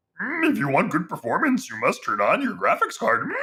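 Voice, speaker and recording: The pace is fairly quick. A put-on character voice delivers the lines. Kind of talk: odd inverted grammar.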